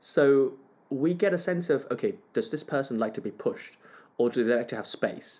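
On a very clean recording with a silent background, a man with a fairly high, dark and mellow voice talks at a moderate pace with lively intonation. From Hong Kong. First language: Cantonese. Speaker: conductor. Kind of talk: interview.

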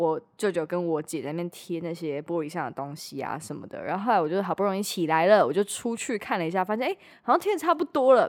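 Delivered at a very fast pace with hardly any pauses, the speech has lively intonation in a very clean recording with a silent background. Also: woman, fairly low pitch for a woman. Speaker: podcast host. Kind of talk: casual chat.

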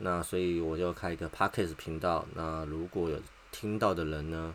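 A man speaks at a fairly quick pace with a Taiwanese accent. His pitch is very deep and low. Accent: Taiwanese Mandarin. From Taiwan, Taipei. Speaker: podcast host, factory technician. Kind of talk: personal monologue. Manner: halting, with many filler sounds.

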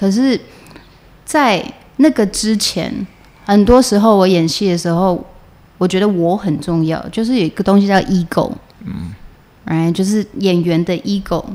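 A woman's medium-pitched, dark, mellow voice with a slight central Taiwanese accent, at a fairly slow pace with long, frequent pauses. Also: ordinary pitch variation. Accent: coastal Changhua Taiwanese accent, slight. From Taiwan, Changhua. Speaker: stage and screen actress. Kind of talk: interview conversation.

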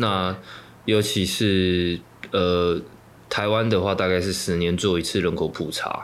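A man speaks in a very deep, low voice at a very slow pace. His delivery is flat and monotone, with audible echo from the room. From Taiwan, Yilan. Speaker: activist and political organizer. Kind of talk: interview.

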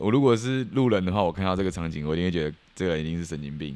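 A man in an animated tone, very deep and low in pitch, on a very clean recording with a silent background. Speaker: podcast host. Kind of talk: casual storytelling monologue.

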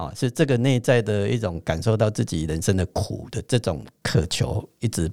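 A man speaks at a fairly slow pace in a fairly low pitch with vocal fry. His intonation is lively. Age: 50s. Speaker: spiritual teacher and astrologer. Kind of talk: teaching chat.

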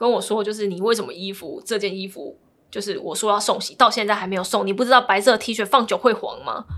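The speaker is a woman with a fairly high pitch and ordinary pitch variation. She talks at a very fast pace. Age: 20s. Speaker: divorcee sharing her story. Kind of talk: interview.

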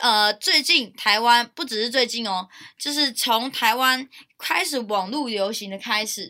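Speaking at a very slow pace, a woman with a Taiwanese accent has a bright, sharp tone. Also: very clean recording, silent background. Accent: Taiwanese Mandarin. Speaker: university student podcast host. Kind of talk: casual chat.

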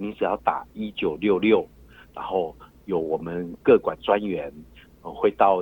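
A man's fairly slow speech. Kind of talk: phone interview. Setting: phone call. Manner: hesitant, many fillers.

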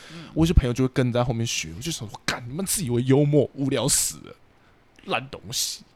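Lively intonation and vocal fry mark this man's speech at a fairly quick pace. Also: medium pitch for a man, big swings in loudness. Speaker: podcast co-host, psychology graduate student. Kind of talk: casual chat.

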